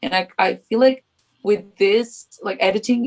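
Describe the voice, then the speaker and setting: With a Portuguese accent, a woman talks at a fairly slow pace. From Portugal. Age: 20s. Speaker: freelance photographer. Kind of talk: podcast interview answer.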